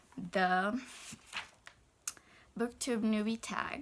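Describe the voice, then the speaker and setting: Fairly even intonation marks this woman's speech in a Brazilian Portuguese accent. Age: 20s. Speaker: book vlogger. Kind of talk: casual vlog. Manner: hesitant, many fillers.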